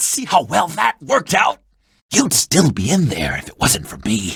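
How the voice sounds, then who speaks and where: Doing a put-on character voice, a man speaks fairly high with very wide pitch swings and big swings in loudness, in a dry, close sound with no echo. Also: moderate pace. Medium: video game. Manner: fast, nervous.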